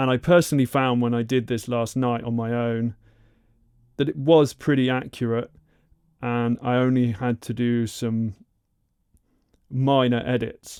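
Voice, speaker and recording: At a fairly slow pace, a man speaks with a medium pitch. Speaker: YouTuber learning Japanese. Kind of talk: tutorial. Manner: halting.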